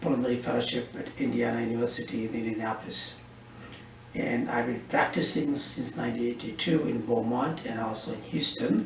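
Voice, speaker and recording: A man talks at a fairly quick pace with fairly even intonation, amid noticeable background noise and audible room echo. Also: medium pitch for a man. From India, Karnataka. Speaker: physician. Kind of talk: interview. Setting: doctor's office.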